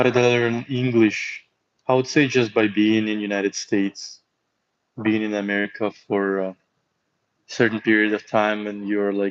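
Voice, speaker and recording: With a slight Russian accent, a man speaks in a fairly low pitch and monotone, flat intonation, leaving long, frequent pauses. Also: moderate pace. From Russia, St. Petersburg. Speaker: hockey player and streamer. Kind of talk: casual live stream chat.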